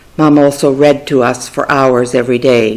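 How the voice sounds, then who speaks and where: A woman with a very deep, low voice and a Canadian accent talks at a moderate pace over noticeable background noise. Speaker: family storyteller. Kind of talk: memoir reading.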